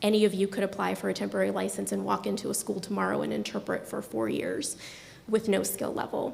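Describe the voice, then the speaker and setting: A woman amid noticeable background noise. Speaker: deaf education administrator presenting to a board. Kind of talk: formal presentation. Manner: fast.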